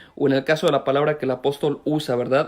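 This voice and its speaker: Speaking very fast, a man gets through his lines quickly. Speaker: pastor. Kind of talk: sermon. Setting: online live stream.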